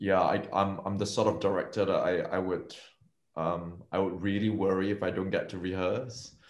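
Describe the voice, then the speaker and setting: Audible room echo surrounds a man whose fairly low voice stays monotone and flat at a moderate pace. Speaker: film director. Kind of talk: panel interview.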